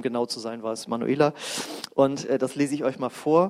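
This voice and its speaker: A man's warm tone, dry and close with no echo. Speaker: preacher leading a healing service. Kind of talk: sermon and fervent prayer. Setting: church service with congregation. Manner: passionate, declaring prayer, full of conviction; warm, casual, interacts with the congregation.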